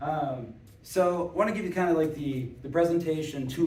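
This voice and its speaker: Fairly high for a man, his voice comes with audible room echo and noticeable background noise. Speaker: conference speaker, operations executive. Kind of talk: conference talk. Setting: stage with audience. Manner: loud; casual.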